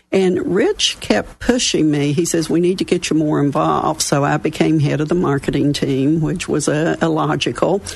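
The speech comes in an Appalachian accent with hardly any pauses. Its loudness stays very even. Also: woman, moderate pace. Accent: Southern US (Appalachian). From West Virginia. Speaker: local business mentoring chapter chair. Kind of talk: casual radio interview. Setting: studio.

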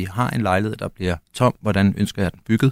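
The recording is very clean, with a silent background. A man speaks at a fairly low pitch with ordinary pitch variation. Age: 30s. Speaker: property investor. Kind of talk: interview. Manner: halting, many fillers.

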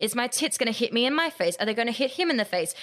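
A woman's very fast, high-pitched speech in an Australian accent, with ordinary pitch variation on a very clean recording with a silent background. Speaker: podcaster, media company founder. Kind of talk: casual chat.

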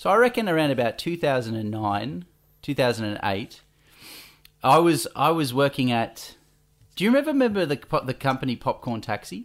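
A man's voice with an Australian accent, at a moderate pace and with very wide pitch swings, on a very clean recording with a silent background. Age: 30s. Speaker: podcast host. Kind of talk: casual chat.

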